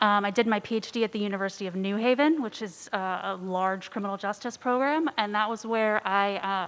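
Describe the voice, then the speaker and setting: This woman talks at a fairly quick pace, her medium pitch showing ordinary variation. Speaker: criminal justice professor. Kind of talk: presentation to city committee. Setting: city council meeting. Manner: fast.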